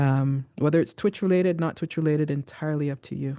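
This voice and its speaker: A woman talks at a fairly quick pace with a very deep, low pitch. Her tone is dark and mellow, and the background is quiet. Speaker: podcast host interviewing a streamer. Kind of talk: casual conversational interview. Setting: live stream. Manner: slightly slurred.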